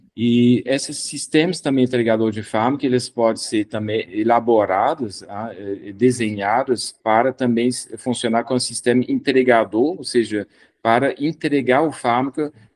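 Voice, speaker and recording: The background is silent apart from the voice. A man talks with ordinary pitch variation at a moderate pace. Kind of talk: lecture. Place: office. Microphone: video call.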